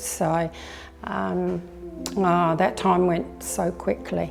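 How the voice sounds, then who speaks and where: A woman with an Australian accent, with music in the background. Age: 80s+. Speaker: netball coach. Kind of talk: interview monologue, reminiscing.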